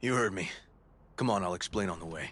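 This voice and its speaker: In a put-on character voice, a man speaks raspy and very deep at a fairly quick pace. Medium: video game. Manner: terse, gruff, clipped.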